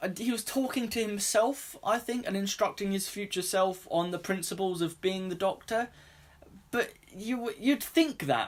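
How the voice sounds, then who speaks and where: A man with a British accent, high-pitched, at a moderate pace with ordinary pitch variation. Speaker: YouTuber reviewing TV. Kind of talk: review rant to camera. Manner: animated.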